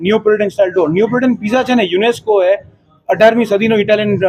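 Noticeable background noise is present throughout. The pitch varies in an ordinary way. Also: man. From Mumbai, India. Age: 20s. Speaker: restaurant owner. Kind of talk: interview.

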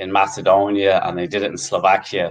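A man speaks at a fairly low pitch in an Irish accent. The background is quiet. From Ireland. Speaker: football fan group co-founder; guest. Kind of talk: casual interview. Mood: animated, opinionated. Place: home room. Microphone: video call.

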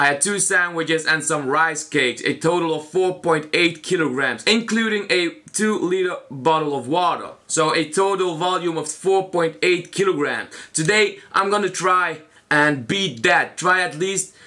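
A man's high-pitched voice at a fairly slow pace, ordinary pitch variation, quiet background. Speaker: food challenge vlogger. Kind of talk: casual vlog chat. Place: home room. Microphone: camera far.

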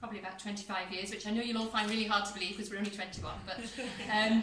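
A woman speaks with audible room echo. There is light background noise. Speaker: government minister opening an office. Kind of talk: formal speech. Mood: warm, lightly humorous. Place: hall. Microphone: camera far.

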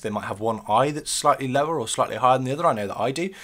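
Lively intonation marks the speech. Behind it, all is quiet. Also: man. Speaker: beard-care YouTuber. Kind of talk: video tutorial. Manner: casual, uses filler ums. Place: home room. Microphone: webcam.

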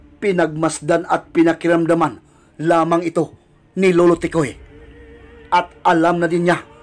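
With music in the background, a man speaks in a high, monotone, flat voice at a fairly slow pace. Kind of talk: horror story narration.

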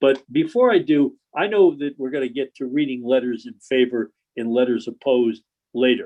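Speaking at a moderate pace with an American accent, a man uses a plain, everyday voice at medium pitch with ordinary pitch variation. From Connecticut. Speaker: attorney presenting a zoning application. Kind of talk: public hearing presentation. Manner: conversational, informal.

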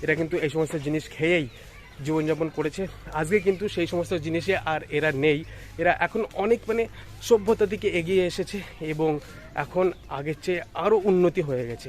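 A man's high voice, with ordinary rises and falls in pitch, comes through noticeable background noise. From India, Nadia district, West Bengal. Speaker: vlogger. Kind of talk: vlog narration.

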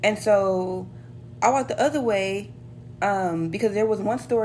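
Over light background noise, the voice moves at a moderate pace with lively intonation and an animated tone. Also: woman. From United States. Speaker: flight attendant vlogger. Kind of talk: casual vlog storytelling, retelling an airport anecdote. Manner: animated, sassy, conversational. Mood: relaxed, mildly annoyed. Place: home room. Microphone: phone near.

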